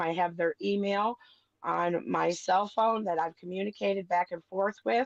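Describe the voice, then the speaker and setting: A woman with a normal speaking voice talks at a moderate pace and medium pitch with ordinary pitch variation in a dry, close sound with no echo. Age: 50s. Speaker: parent in custody case. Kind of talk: heated debate.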